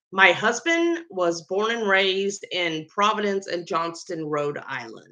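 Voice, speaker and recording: With hardly any pauses, a woman speaks at a fairly slow pace and a medium pitch, using ordinary pitch variation. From US South (Georgia and Florida). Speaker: baker and medical worker. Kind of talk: casual vlog talk. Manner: casual with fillers.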